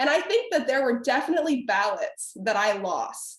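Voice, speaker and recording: A woman with an American accent speaks in an animated tone at a moderate pace. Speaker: former debate champion and debate instructor. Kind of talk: webinar panel discussion.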